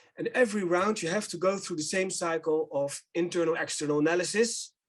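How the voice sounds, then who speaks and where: A man with a Dutch accent talks very fast. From Netherlands. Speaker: company director presenting a business simulation. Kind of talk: webinar presentation.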